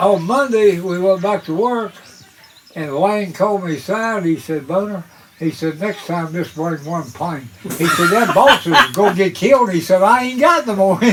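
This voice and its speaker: A man with an Appalachian accent, a high pitch, lively intonation and a moderate pace, over noticeable background noise. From US, West Virginia (Appalachia). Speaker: retired coal miner, storyteller. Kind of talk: storytelling interview.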